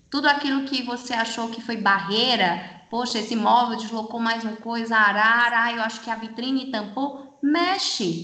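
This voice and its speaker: Against noticeable background noise, a woman speaks with a fairly high pitch. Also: ordinary pitch variation, moderate pace. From Brazil, Fortaleza (Ceará). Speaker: retail specialist. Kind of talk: casual chat.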